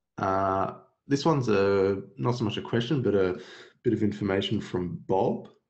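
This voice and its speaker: Speech at a moderate pace, with ordinary pitch variation and very even loudness, carries audible room echo. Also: man, fairly low pitch for a man. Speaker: software webinar host. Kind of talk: webinar Q&A. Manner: low-energy.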